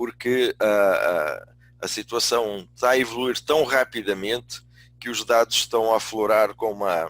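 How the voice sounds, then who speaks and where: At a fairly slow pace, a man speaks in a medium pitch with ordinary pitch variation, the sound dry and close with no echo. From Portugal. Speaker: business school dean and management consultant. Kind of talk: webinar lecture. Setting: online webinar. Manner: hesitant, with many fillers.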